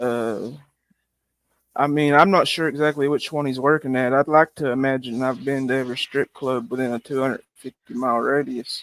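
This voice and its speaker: The recording is dry and close with no echo, carrying a man's medium-pitched voice and fairly even intonation. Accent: rural US. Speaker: live streamer. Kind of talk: casual chat.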